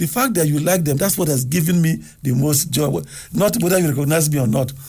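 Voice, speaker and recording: The speaker moves at a fairly quick pace with lively intonation and vocal fry. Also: man. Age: 70s. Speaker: television producer. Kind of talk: radio interview.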